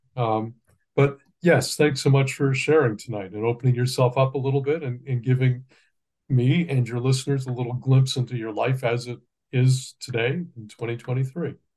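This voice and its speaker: A man talks with fairly even intonation and a somewhat breathy voice. The background is quiet. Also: medium pitch for a man, moderate pace. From Ontario, Canada. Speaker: journalist. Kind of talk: interview questions.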